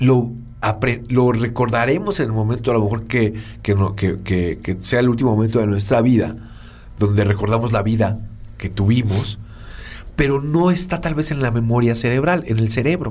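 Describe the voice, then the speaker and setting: The speaker goes at a moderate pace with ordinary pitch variation and long, frequent pauses. Audible room echo surrounds the voice. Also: man, medium pitch for a man. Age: 40s. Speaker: podcast co-host, communication consultant. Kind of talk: casual explanatory chat.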